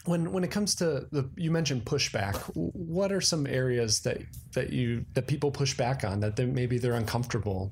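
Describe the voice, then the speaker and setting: At a moderate pace and medium pitch, a somewhat breathy man talks with very wide pitch swings, very even loudness and hardly any pauses. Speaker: podcast host. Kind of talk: interview. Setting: live on-site at a conference.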